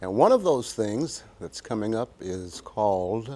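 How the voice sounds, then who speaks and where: A man talks at a very slow pace. His voice sits at medium pitch with a dark, mellow tone. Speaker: talk show host. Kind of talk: interview, host conversation on a local community TV show.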